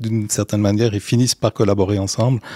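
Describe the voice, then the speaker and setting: A man's fairly low voice on a very clean recording against a silent background. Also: dry, close sound with no echo. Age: 50s. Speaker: innovation project manager. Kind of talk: interview. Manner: halting, frequent repetitions.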